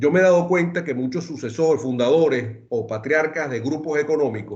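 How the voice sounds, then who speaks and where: The speaker has a Venezuelan accent and a moderate pace. Their intonation is lively. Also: man. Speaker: lawyer, wealth and succession planning expert. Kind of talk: webinar talk. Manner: hesitant restarts.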